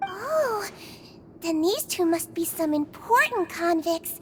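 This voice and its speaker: Woman in a put-on character voice at extremely high pitch, fairly slow pace, with clear background noise. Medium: video game. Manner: soft, warm and friendly.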